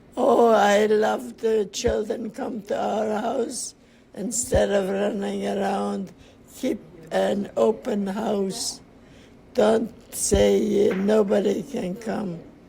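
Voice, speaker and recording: Someone speaks at a very slow pace over noticeable background noise. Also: woman. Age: 80s+. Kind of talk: interview answer.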